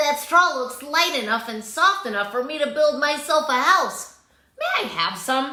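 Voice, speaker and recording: A put-on character voice is heard with audible echo. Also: woman, high pitch for a woman, moderate pace. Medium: read story. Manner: polite, squealing.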